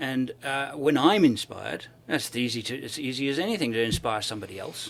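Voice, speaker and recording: Speaking fairly quickly with a British accent, a man uses lively intonation at a medium pitch, his loudness swinging widely. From South Africa (born in UK, moved at 12). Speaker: overland traveler and filmmaker. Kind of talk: interview conversation. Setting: expo event. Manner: enthusiastic.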